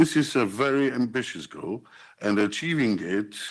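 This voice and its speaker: Intonation is lively, with a Polish accent. The recording is very clean, with a silent background. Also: man. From Poland. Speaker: politician. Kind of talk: formal speech. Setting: conference venue. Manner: formal.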